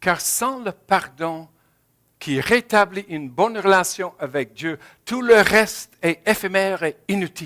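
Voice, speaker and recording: The voice has a bright, sharp tone and ordinary pitch variation, moving at a very slow pace. The sound is dry and close with no echo, on a very clean recording with a silent background. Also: man, high pitch for a man. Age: 70s. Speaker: pastor. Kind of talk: sermon. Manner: halting.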